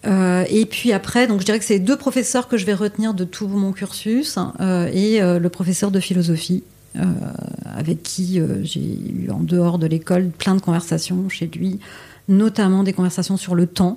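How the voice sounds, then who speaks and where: A fairly slow pace, ordinary pitch variation and noticeable background noise. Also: woman, medium pitch for a woman. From Paris, France. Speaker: exhibition curator. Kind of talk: interview.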